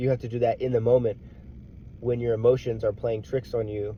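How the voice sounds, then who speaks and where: Speaking at a fairly quick pace, a man with a medium-pitched, somewhat breathy voice comes across. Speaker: motivational vlogger, military veteran. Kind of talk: casual motivational monologue.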